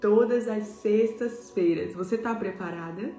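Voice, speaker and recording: A soft-spoken woman with a medium pitch talks at a very slow pace with ordinary pitch variation. Music plays in the background, and there is audible room echo. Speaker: pastor. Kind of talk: devotional sermon.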